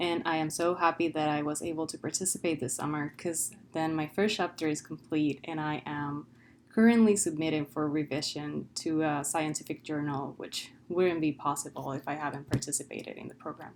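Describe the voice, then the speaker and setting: A woman's very deep, low voice with a Spanish accent, fairly even intonation and a fairly quick pace. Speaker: PhD student. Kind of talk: testimonial.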